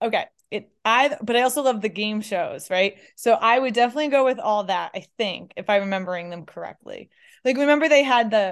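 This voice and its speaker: Against a quiet background, a woman with an American accent talks at a moderate pace with ordinary pitch variation. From upstate New York. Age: 30s. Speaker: comedian and former college runner. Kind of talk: casual chat. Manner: animated.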